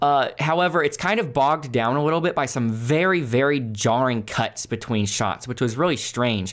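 Talking at a moderate pace with hardly any pauses, a man uses lively intonation at a medium pitch, his loudness very even on a very clean recording with a silent background. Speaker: gaming youtuber, movie reviewer. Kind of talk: solo video review. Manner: unscripted, conversational.

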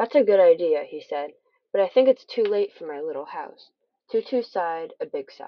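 The speaker uses an unforced reading voice over a quiet background.

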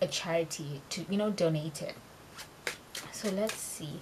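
With noticeable background noise around her, a woman keeps a moderate pace. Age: 20s. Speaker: tarot reader and true crime youtuber. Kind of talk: casual vlog monologue.

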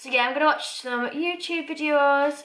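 Music plays in the background while a woman talks at a fairly slow pace. Her pitch variation is ordinary. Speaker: vlogger. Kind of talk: casual vlog chat. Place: kitchen. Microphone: phone near.

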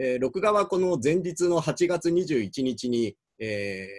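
Against a quiet background, a man's voice swings very widely in pitch, and the sound is dry with no echo. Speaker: university professor. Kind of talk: lecture. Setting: recorded video without live audience. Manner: halting, many fillers. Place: office. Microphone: webcam.

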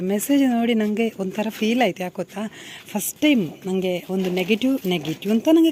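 Through noticeable background noise comes a woman's fairly high voice. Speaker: vlogger. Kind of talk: casual vlog talk. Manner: casual conversational.

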